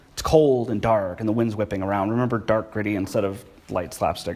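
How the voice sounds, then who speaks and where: His voice carries audible room echo. The speaker is a man. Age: 20s. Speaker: pastor. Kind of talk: sermon. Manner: casual.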